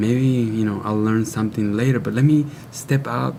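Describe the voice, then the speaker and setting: Someone with a Spanish accent speaks at a moderate pace with fairly even intonation amid noticeable background noise. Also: man. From Mexico, Baja California. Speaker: natural wellness product maker. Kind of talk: TV interview.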